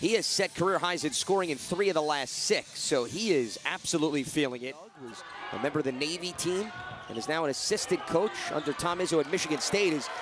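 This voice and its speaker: There is a noticeable hum of background noise. Over it, a man talks fairly quickly. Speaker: play-by-play commentator. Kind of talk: live sports commentary, highlight reel. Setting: broadcast over game footage.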